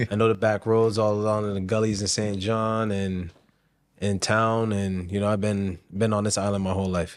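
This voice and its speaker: With an American accent, a man speaks at a moderate pace in a fairly low pitch and monotone, flat intonation. The recording is very clean, with a silent background. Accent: switches Bajan accent on and off. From US, Barbadian parentage, childhood time in Bridgetown. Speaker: chef. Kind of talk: casual interview.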